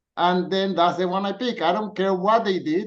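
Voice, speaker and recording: This man has a high-pitched voice. He speaks with a Spanish accent. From Colombia. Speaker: dance teacher and frugal living writer. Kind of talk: podcast interview.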